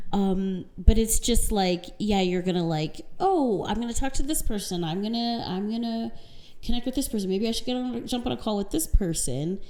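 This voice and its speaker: A woman speaks quietly at a moderate pace, her fairly high voice carrying a dark, mellow tone and lively intonation. Audible room echo surrounds her. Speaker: podcast co-host. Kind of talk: casual chat.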